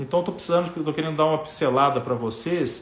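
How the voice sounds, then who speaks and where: This man speaks with a fairly high pitch. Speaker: plastic surgeon. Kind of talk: live stream talk to viewers. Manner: fast; casual, filler-heavy.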